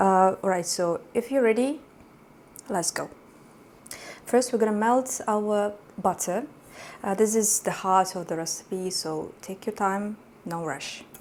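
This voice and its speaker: The speaker has a non-native accent and goes at a fairly slow pace. Long pauses come often. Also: woman, medium pitch for a woman, ordinary pitch variation. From Uzbekistan. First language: not English. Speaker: cooking YouTuber. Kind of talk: cooking tutorial. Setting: home kitchen. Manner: hesitant, many fillers.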